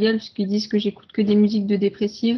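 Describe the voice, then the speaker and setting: A woman's fairly high, somewhat breathy voice. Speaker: panelist. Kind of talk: casual chat. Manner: fast.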